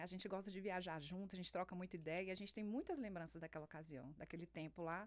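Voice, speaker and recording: A woman at a very fast pace. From Brasília, Brazil. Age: 40s. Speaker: businesswoman. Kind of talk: interview. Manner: halting, repeats words.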